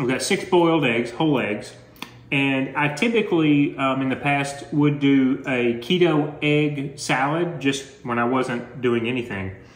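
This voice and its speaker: A man talks fairly slowly with ordinary pitch variation, and audible room echo follows his words. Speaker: home vlogger. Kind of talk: casual vlog chat. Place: home room. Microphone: phone near.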